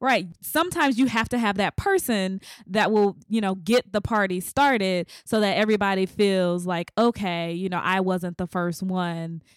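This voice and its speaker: In a very clean recording with a silent background and a dry, close sound with no echo, a woman with an American accent and a normal speaking voice talks at a moderate pace and medium pitch, with ordinary pitch variation and hardly any pauses. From US South. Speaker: podcast host. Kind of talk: interview.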